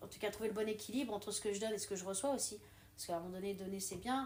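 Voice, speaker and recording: Audible room echo surrounds the voice. A woman talks at a medium pitch. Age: 30s. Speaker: water engineer and beginner stand-up comedian. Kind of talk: casual interview chat. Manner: loud; animated.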